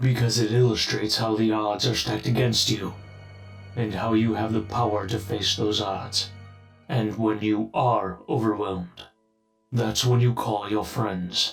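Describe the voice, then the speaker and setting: In a put-on character voice, a man talks at a moderate pace with fairly low pitch, a monotone, flat intonation and very even loudness while faint music plays behind him. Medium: audio drama. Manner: calm, paternal.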